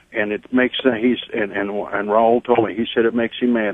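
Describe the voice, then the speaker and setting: A man with a Texan accent speaks at a fairly quick pace in a monotone, flat intonation. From Texas border region. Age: 60s. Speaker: caller, border landowner. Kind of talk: call-in radio talk.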